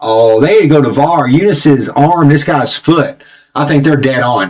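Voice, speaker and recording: Speaking in a Southern US accent, a man uses a fairly high pitch and an animated tone at a moderate pace. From Tennessee, US South. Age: 40s. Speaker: football channel host. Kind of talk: live match watch-along commentary. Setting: live stream.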